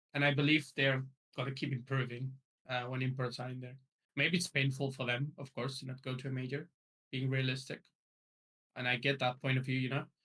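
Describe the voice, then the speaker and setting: A man with a non-native accent talks at a fairly quick pace and a medium pitch. His intonation is monotone and flat, broken by long, frequent pauses. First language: not English. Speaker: esports coach. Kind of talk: podcast interview. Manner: hesitant, many fillers.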